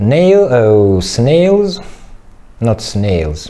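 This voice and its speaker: With a non-native accent, a man speaks at a very slow pace with very wide pitch swings, amid audible room echo and noticeable background noise. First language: not English. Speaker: clay modelling teacher. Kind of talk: tutorial. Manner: halting.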